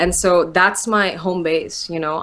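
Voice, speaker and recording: A woman is speaking. Her pitch is medium. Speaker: motivational speaker. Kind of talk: interview. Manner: fast.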